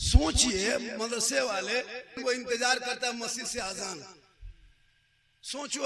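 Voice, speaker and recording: Raising and projecting his high-pitched voice, a man talks in an animated tone with lively intonation over noticeable background noise. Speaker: Islamic preacher / maulana. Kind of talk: humorous religious sermon to a gathering. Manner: animated, jokey, scolding, conversational.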